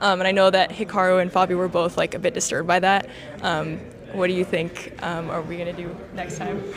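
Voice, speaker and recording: Amid noticeable background noise, a woman with an American accent speaks at a fairly quick pace in a monotone, flat intonation. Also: medium pitch for a woman. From Los Angeles, US. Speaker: interviewer. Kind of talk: casual interview. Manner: halting, many fillers.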